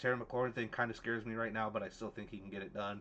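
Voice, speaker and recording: This man talks very fast in a fairly low voice with a bright, sharp tone. His intonation stays fairly even. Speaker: fantasy football podcast co-host. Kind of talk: casual chat.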